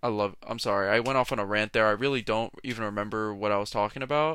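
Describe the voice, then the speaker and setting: A normal speaking voice with fairly even intonation on a very clean recording with a silent background. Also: man. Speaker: solo podcast host. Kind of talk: casual solo rant.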